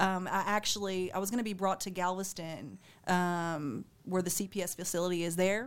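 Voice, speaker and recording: The recording is very clean, with a silent background. A woman speaks at a moderate pace in a medium pitch, with fairly even intonation. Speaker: guest, nonprofit founder. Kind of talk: casual interview, personal story. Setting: studio.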